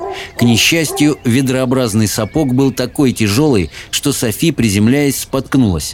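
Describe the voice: Ordinary pitch variation in plain reading aloud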